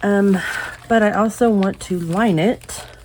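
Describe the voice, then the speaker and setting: Noticeable background noise fills the clip. Through it, a woman talks very slowly. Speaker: crafting youtuber. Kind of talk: tutorial. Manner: casual, halting with fillers.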